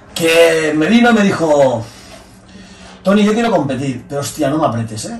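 A man's fairly high voice with very wide pitch swings and audible room echo. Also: moderate pace. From Spain. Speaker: bodybuilding coach and former competitor; bodybuilding coach. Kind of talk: casual chat. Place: office.

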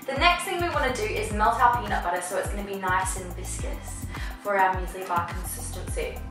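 Fairly quick speech from a woman, with clear music in the background and audible room echo. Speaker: cooking show host. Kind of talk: tutorial. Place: kitchen. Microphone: camera far.

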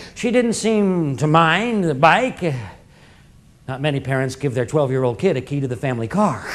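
A man speaks at a fairly quick pace. His pitch moves in very wide swings. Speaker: storyteller performer. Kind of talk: theatrical monologue storytelling. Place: stage.

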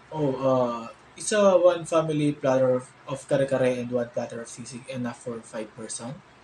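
A man at a moderate pace, with ordinary pitch variation, big swings in loudness, audible room echo and light background noise. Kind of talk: acted phone conversation. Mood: hesitant, casual. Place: home room.

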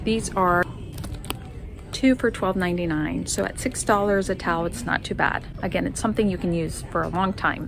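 A woman talks at a moderate pace. Noticeable background noise sits behind her. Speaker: home decor vlogger. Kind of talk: casual vlog chat. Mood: upbeat, enthusiastic. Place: shop. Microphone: phone near.

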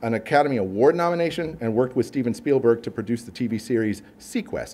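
This man has an American accent and lively intonation. He talks at a very fast pace. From US West Coast, southern California (Downey); California. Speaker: marine scientist; host introducing the lecturer. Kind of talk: formal speaker introduction. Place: hall. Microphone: podium.

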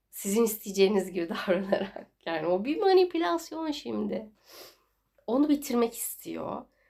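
Using a dark, mellow tone, a woman speaks at a fairly slow pace with very wide pitch swings. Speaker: tarot reader. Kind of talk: tarot reading video. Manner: casual, filler-heavy.

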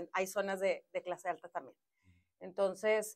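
Against a quiet background, a woman does the talking. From Mexico, Monterrey; Nuevo León, Mexico. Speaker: politician, former city councillor. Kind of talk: interview. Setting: studio. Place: studio. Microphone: lapel.

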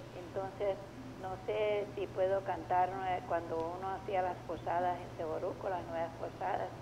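A woman talks at a fairly slow pace, her intonation fairly even, while noticeable background noise runs behind her. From Venezuela, Táchira. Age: 80s+. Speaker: caller. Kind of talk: phone call to radio. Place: studio. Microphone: handheld.

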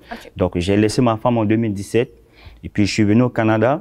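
A man whose voice is fairly deep talks rather quickly against a quiet background. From Central African Republic. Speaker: shopkeeper, former carpenter; interview guest. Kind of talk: interview. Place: studio. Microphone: lapel.

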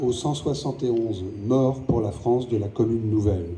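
A man speaks with a somewhat breathy voice. Light background noise sits behind him. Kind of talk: formal commemorative speech. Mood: solemn. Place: street. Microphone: pa.

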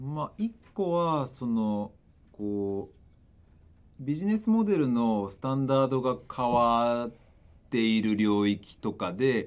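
A man at medium pitch, talking at a very slow pace with ordinary pitch variation. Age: 30s. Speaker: startup CEO and investor; panelist. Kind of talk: panel discussion. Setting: live stream studio without audience. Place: studio. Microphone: studio mic.

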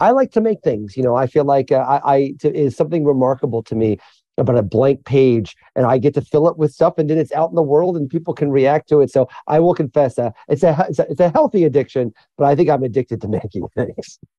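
A man talks at a very fast pace and a fairly high pitch. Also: ordinary pitch variation. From rural central Illinois (Mattoon). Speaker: author and journalist. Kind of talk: interview conversation. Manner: animated.

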